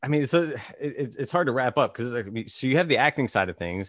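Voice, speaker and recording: On a very clean recording with a silent background, a man with an American accent and a normal speaking voice talks at a fairly quick pace with lively intonation. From Virginia. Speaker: podcast host. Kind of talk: casual chat.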